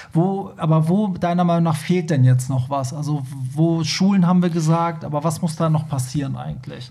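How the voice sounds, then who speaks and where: There is audible room echo and noticeable background noise as a man with a fairly high pitch speaks at a moderate pace with ordinary pitch variation. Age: 30s. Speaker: podcast host. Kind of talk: casual chat.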